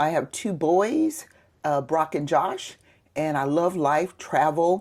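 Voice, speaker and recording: The background is silent on this very clean recording. Her voice, a woman's, sits at a fairly low pitch. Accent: Southern US. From US South, Mississippi Gulf Coast. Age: 60s. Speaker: retired police sergeant. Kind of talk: interview.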